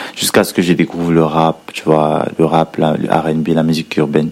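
Flat, monotone intonation over noticeable background noise. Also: man. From Cameroon, Edea. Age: 20s. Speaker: rapper. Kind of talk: recorded interview answers.

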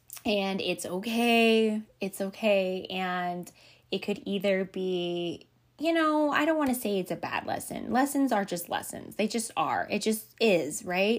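The intonation is lively. The pace is fairly slow. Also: woman, medium pitch for a woman, very clean recording, silent background. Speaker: solo podcast host, hairdresser. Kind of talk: casual self-help monologue. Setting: home recording. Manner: giggly.

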